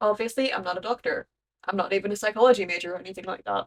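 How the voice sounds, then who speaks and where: The pitch varies in an ordinary way. It belongs to a woman speaking. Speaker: vtuber. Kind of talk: scripted awareness talk. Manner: slightly disfluent speech; may sound forced, read from script.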